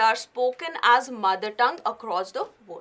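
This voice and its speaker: A woman with an Indian accent speaks in a raised, projected voice. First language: Hindi. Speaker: current affairs teacher. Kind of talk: lecture.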